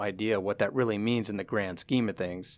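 A man with an American accent talks at a moderate pace in a normal speaking voice. His pitch varies in an ordinary way. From US, San Francisco Bay Area. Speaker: hockey fan community founder. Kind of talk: interview.

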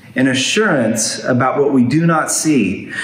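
A man talks fairly slowly in a fairly high pitch with lively intonation. Noticeable background noise is present. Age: 50s. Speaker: pastor. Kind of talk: sermon.

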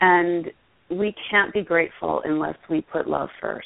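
Here is a woman with a normal speaking voice and a fairly low pitch. She goes at a fairly slow pace with fairly even intonation. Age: 40s. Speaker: yoga teacher and former actress. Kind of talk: interview.

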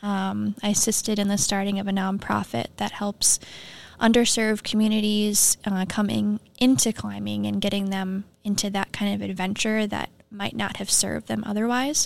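A woman with an Upper Midwest accent is heard in a very clean recording with a silent background. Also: moderate pace. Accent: Upper Midwest (Minnesota). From Minnesota. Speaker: environmental technician. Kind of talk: interview conversation. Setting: studio.

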